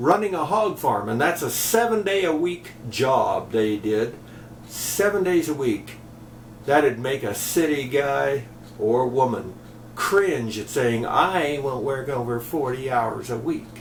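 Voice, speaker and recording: A man's fairly high voice with an American accent, lively intonation and a fairly slow pace, set against noticeable background noise. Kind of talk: casual talk to camera, commentary.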